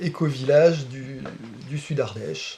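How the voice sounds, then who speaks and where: Fairly even intonation from a fairly high male voice, noticeable background noise behind. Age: 40s. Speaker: baker. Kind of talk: casual interview.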